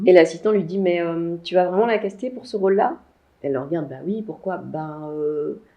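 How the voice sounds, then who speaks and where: A woman with a normal speaking voice talks at a fairly quick pace, her fairly low pitch showing ordinary pitch variation. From Belgium and Martinique. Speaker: actress, singer, stage director, voice-over artist. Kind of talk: interview answer.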